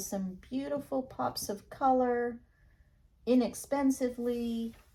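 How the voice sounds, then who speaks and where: A woman speaks quietly. Her pace is very slow. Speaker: acrylic pour artist. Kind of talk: tutorial.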